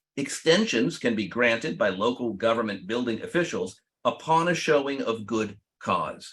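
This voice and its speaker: With lively intonation, a man speaks at a moderate pace and medium pitch in an ordinary speaking voice. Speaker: attorney. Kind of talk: webinar presentation. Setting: online webinar.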